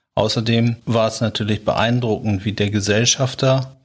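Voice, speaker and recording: Somewhat breathy and monotone, a man speaks at a moderate pace on a very clean recording with a silent background. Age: 40s. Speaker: company founder and managing director. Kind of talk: podcast interview.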